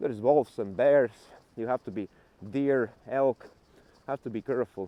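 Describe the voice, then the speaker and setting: This man talks in a Latvian accent at a moderate pace. His pitch is medium, with ordinary pitch variation. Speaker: travel vlogger. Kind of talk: casual walking vlog. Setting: outdoors.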